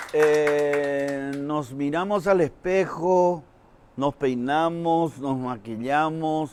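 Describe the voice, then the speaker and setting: Speaking very slowly, a man uses a fairly high pitch. He talks with a Paraguayan accent. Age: 60s. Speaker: comedian. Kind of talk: stand-up.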